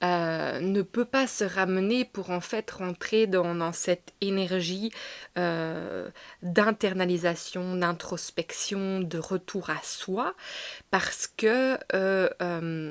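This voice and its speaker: Her pitch sits in the medium range. This woman talks very slowly. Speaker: tarot reader. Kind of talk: tarot channeling reading. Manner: halting, many fillers.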